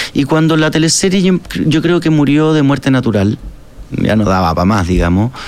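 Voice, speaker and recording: A man with a Chilean accent speaks at a moderate pace and a fairly high pitch. His pitch swings very widely while his loudness stays very even. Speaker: actor and musician. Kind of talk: casual interview chat. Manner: halting, many fillers and repetitions.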